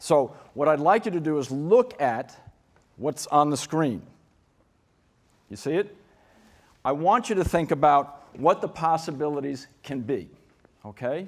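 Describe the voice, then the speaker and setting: Pausing long and often, a man with a New York accent speaks in a fairly high pitch with ordinary pitch variation. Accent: New York American. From New York City. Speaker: keynote speaker on school design. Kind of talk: conference keynote talk. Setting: conference stage with audience. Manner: fast; animated.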